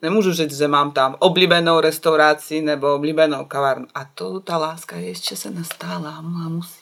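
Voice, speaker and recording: With a Belarusian accent, a woman with a very deep, low pitch talks at a moderate pace, showing ordinary pitch variation, big swings in loudness and hardly any pauses. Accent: foreign, Belarusian. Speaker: illustrator and graphic designer. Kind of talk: casual chat.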